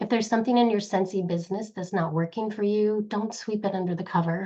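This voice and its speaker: Her intonation is rather flat. The woman speaks at a somewhat brisk pace. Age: 50s. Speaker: direct sales leader. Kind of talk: motivational presentation.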